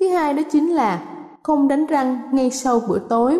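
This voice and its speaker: A high-pitched woman's voice at a fairly slow pace, over noticeable background noise. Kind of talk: radio health talk. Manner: formal, courteous, instructive.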